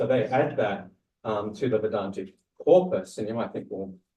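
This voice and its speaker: In a room with audible echo, a man with an Australian accent speaks at a medium pitch in a somewhat breathy voice. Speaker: academic presenter. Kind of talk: lecture. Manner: hesitant, many fillers.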